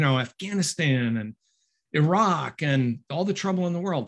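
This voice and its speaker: Over a quiet background, a somewhat breathy man speaks at a moderate pace with lively intonation. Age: 60s. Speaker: author and instructor; instructor. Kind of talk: book talk. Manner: halting. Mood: conversational, mildly wry. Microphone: webcam.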